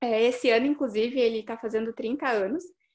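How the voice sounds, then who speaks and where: A normal speaking voice moves at a fairly quick pace with fairly even intonation. The recording is very clean, with a silent background. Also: woman. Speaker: public relations student, events and finance. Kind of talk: casual chat.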